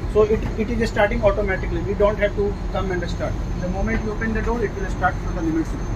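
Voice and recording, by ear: Over loud background noise, a man with a high pitch talks fast with fairly even intonation.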